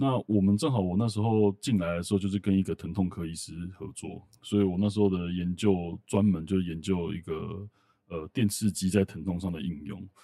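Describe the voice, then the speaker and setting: A man's very deep, low voice, dark and mellow in tone, with fairly even intonation. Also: moderate pace. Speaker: medical tech company general manager. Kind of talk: interview conversation.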